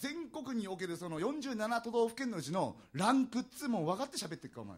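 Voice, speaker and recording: The speech comes at a very fast pace. Its pitch swings very widely. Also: man, extremely high pitch for a man. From Aomori, Japan. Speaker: comedian. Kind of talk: live manzai comedy stage performance. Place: stage. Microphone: handheld.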